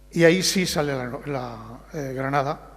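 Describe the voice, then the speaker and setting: A man speaks in a fairly high pitch with vocal fry. His intonation stays fairly even. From Barcelona, Catalonia. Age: old. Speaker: novelist. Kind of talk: book presentation interview.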